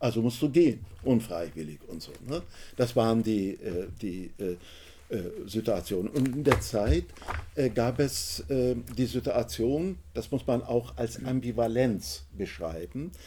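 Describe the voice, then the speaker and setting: With a Turkish accent, a man speaks at a very slow pace, his medium pitch making very wide swings. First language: Turkish (speaking German). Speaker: author and trade unionist. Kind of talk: book talk. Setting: bookshop event with audience.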